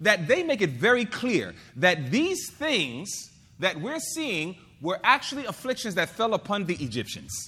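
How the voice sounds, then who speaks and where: A bright, sharp tone in a raised, projected voice, with very wide pitch swings at a fairly slow pace. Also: man, high pitch for a man. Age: 40s. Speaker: preacher. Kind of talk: sermon. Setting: church.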